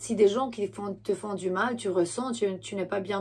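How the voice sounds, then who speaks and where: A woman talks at a very slow pace, and the recording is very clean with a silent background. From Romania. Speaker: tarot reader. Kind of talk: tarot reading monologue. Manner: halting, many fillers and self-corrections.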